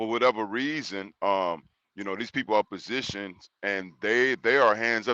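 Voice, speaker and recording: In a quiet background, a man with an American accent speaks loudly in a bright, sharp tone with fairly even intonation. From Texas, Houston. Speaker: panel debate guest. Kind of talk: panel debate. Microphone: audio checked, said good.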